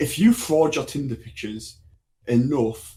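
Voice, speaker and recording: A somewhat breathy, dark, mellow voice with a strong English accent and ordinary pitch variation. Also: man. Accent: English, thick. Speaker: podcast co-host. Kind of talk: casual chat.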